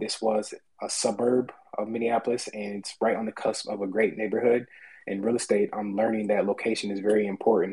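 A man's fairly low-pitched, monotone, flat delivery at a fairly quick pace. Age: 20s. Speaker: real estate agent. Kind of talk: personal story.

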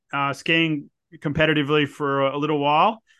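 A man talks at a moderate pace. His pitch is fairly high, and he has an Australian accent. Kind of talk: casual interview. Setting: remote call.

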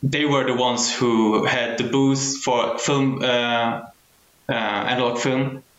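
A man's medium-pitched voice at a very slow pace, with very even loudness, fairly even intonation, noticeable background noise and audible room echo. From Germany. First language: Arabic. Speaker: film photography community curator. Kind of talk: casual chat.

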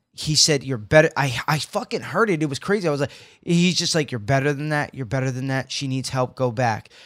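On a very clean recording with a silent background, a man with an unremarkable speaking voice of fairly high pitch talks fairly quickly with ordinary pitch variation. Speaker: podcast co-host. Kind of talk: casual banter comedy chat. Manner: joking, profane, teasing.

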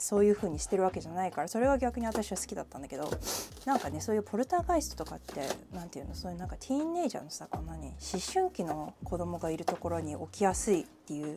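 A woman at a very fast pace, with big swings in loudness and noticeable background noise. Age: 30s. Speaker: podcast host. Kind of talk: casual solo chat. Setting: home kitchen.

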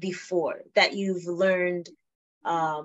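The woman's pitch is medium. She talks very slowly. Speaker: podcast host. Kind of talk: casual interview chat.

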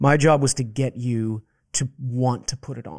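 A man speaks with an American accent at a medium pitch. His pitch varies in an ordinary way. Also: dry, close sound with no echo. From Boston area, US. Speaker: actor and theater maker. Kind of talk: casual chat. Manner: articulate; animated.

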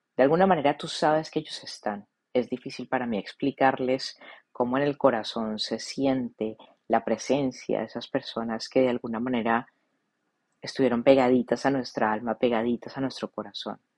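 Things are quiet in the background. The talking proceeds at a moderate pace. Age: 40s. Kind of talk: reflective monologue.

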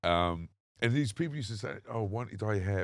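Talking at a very fast pace, a man with a London accent and a fairly low pitch uses ordinary pitch variation in a very clean recording with a silent background. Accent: generic London English. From southern England. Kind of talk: casual chat. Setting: outdoors.

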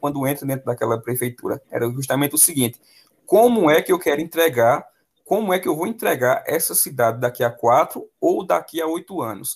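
A man talks at a fairly quick pace in a fairly high-pitched voice. His delivery is somewhat breathy. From Pernambuco interior, Brazil. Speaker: math teacher. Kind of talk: casual interview.

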